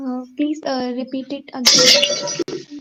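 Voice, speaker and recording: A woman speaks in a high voice with an Indian accent. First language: Hindi. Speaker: caller, tarot reader. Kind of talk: consultation call. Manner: halting, many hesitations.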